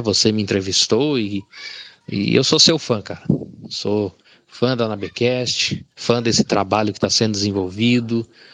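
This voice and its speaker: A fairly low-pitched man's voice, fairly slow in pace, with ordinary pitch variation. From Rondonópolis, Mato Grosso, Brazil. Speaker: blind listener. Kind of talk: recorded listener message. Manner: halting.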